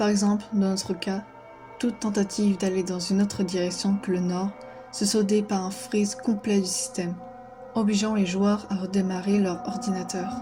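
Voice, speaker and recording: Over music in the background, the speaker goes at a moderate pace with fairly even intonation. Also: woman, medium pitch for a woman. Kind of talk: horror story narration.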